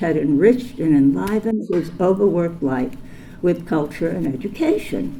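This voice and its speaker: Noticeable background noise and audible room echo fill this recording. A woman speaks at a fairly slow pace in a fairly low pitch. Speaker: honoree's daughter giving tribute speech. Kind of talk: prepared tribute speech. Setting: ceremony hall with audience. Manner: formal.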